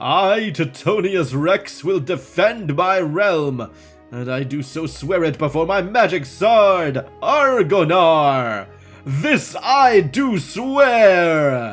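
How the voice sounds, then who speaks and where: Using a put-on character voice at middle pitch, the speaker goes at a very slow pace while faint music plays in the background. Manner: mumbling.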